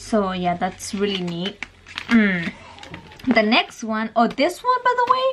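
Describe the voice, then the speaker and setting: Noticeable background noise surrounds a woman's voice. She talks very slowly, with long, frequent pauses. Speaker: mommy vlogger. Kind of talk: casual tutorial vlog.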